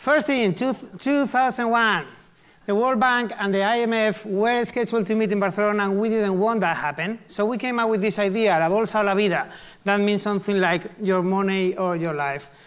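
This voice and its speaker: A man with a Spanish accent, high-pitched, at a fairly quick pace, with ordinary pitch variation, very even loudness, and a very clean recording over a silent background. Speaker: artist and activist. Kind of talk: conference talk. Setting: live stage, large hall. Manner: casual, humorous.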